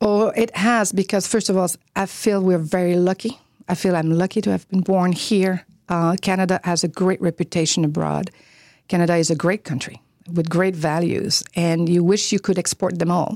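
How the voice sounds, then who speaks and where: With a Quebec accent, a woman speaks at a fairly low pitch and moderate pace, her intonation fairly even and her loudness very even, in a dry, close sound with no echo on a very clean recording with a silent background. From Quebec, Chicoutimi. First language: French. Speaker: media executive and former journalist. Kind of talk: interview. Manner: hesitant, many fillers.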